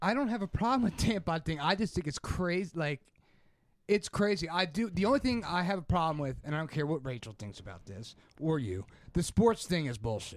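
Fairly quick speech from a high-pitched man, his pitch swinging very widely. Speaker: podcast co-host. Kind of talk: casual chat.

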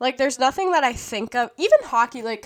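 Lively intonation in a woman's high voice. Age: 20s. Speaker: podcast host. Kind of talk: casual monologue. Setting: home podcast room. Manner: halting.

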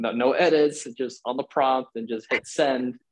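A man speaks in a plain, everyday voice at a medium pitch, with fairly even intonation. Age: 20s. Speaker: startup founder. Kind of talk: interview.

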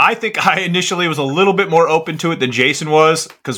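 A man with a bright, sharp tone talks at a fairly quick pace on a very clean recording with a silent background. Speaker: podcast co-host, combat veteran. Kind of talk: casual podcast chat.

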